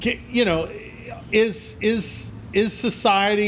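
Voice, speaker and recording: A man talks over noticeable background noise. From Louisiana. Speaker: sports talk show host. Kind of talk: sports talk interview.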